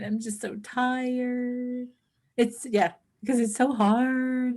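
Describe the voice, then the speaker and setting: A woman uses a put-on, whiny character voice with a whiny tone, speaking high and monotone with flat intonation at a fairly slow pace. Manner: whiny, pitiful.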